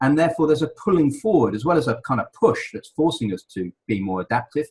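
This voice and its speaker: A man with an English accent talks at a fairly quick pace in a somewhat breathy voice, recorded with a dry, close sound and no echo. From England. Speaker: leadership consultant. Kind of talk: interview. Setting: radio show. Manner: halting, many repeated words.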